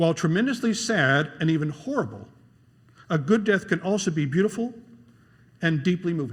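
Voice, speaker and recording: A man's high voice moves through very wide pitch swings. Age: 60s. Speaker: guest preacher. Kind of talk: sermon.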